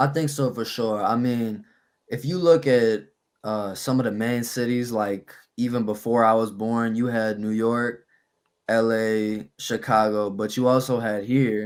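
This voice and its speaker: On a very clean recording with a silent background, a man with an American accent speaks at a fairly slow pace, medium pitch and fairly even intonation. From New Orleans, Louisiana. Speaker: rapper. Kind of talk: interview.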